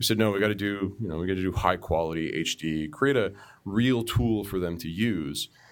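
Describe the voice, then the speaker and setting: In a Canadian accent, a man with an ordinary speaking voice talks at a fairly quick pace with a fairly low pitch and ordinary pitch variation, on a very clean recording with a silent background. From Canada, Toronto suburbs (Markham). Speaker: software engineer. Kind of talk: casual chat.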